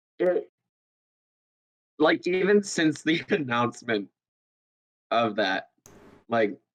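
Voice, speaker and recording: Here a man with a fairly high pitch talks at a very slow pace, leaving long, frequent pauses. His voice has vocal fry and very wide pitch swings. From Canada. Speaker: podcast guest, gaming community member. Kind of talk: casual chat.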